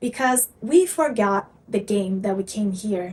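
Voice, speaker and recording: Her voice is somewhat breathy, with fairly high pitch. The woman's intonation is lively. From Brazil. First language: Portuguese. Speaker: spiritual content creator. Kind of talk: motivational talk to camera.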